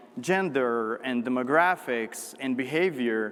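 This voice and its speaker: This man's intonation is lively, with noticeable background noise around him. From Morocco. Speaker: marketing executive. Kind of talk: keynote talk. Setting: conference stage with audience.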